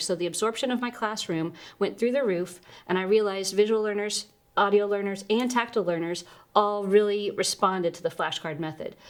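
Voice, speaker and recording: A woman with an American accent speaks at a medium pitch and a fairly quick pace, with ordinary pitch variation, in an unremarkable speaking voice. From Texas. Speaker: Spanish teacher and curriculum author. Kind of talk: interview.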